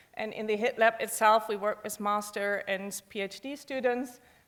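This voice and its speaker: Her tone bright and sharp, a woman talks at a fairly slow pace with a fairly high pitch. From Germany. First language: German. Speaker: professor. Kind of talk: conference talk. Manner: frequent fillers, hesitant.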